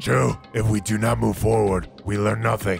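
Clear music plays in the background as a man in a put-on character voice speaks at a moderate pace with a fairly low pitch.

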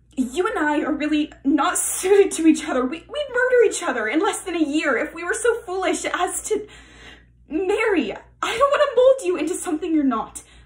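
A woman speaks at a moderate pace with an extremely high pitch and very wide pitch swings against a quiet background. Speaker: actor doing an audition self-tape. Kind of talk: acted dramatic monologue. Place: home room. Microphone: phone near.

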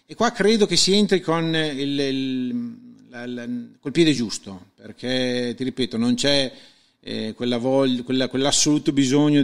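An ordinary speaking voice with lively intonation. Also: man. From Reggio Emilia, Italy. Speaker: amateur racetrack organizer. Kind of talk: interview.

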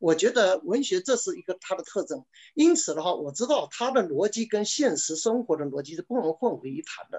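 Against a quiet background, a man with a Chinese accent talks at a very fast pace in a high pitch, making very wide pitch swings and hardly any pauses. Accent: Mandarin Chinese. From China. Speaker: novelist. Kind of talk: panel discussion. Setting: video call. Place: home room. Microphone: webcam.

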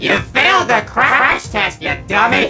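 Putting on a character voice, a man speaks fairly slowly in an extremely high pitch with big pitch swings and a bright, sharp tone that sounds robotic and processed, while faint music plays in the background.

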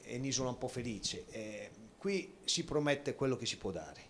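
Speaking at a moderate pace, a man has an ordinary speaking voice with lively intonation. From Città di Castello, Umbria; Umbria. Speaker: football coach. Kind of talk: TV sports talk show. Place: hall. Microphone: handheld.

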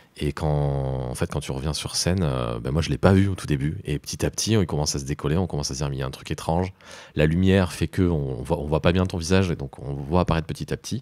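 Delivery is very fast, with ordinary pitch variation. The tone is dark and mellow. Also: man, very deep, low pitch for a man, very clean recording, silent background. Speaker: theatre podcast host. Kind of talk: interview. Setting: studio.

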